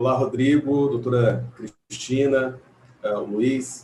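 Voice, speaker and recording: Against noticeable background noise, a man talks with an interior São Paulo accent. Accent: caipira accent of interior São Paulo. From Brazil, interior of São Paulo state. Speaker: legal scholar, panel speaker. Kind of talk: academic panel talk. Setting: video call from home. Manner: halting, many fillers.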